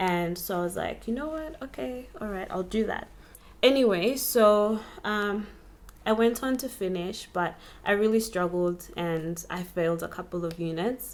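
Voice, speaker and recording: A soft-spoken woman with a medium pitch uses lively intonation. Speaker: vlogger. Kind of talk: personal storytelling vlog. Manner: slow.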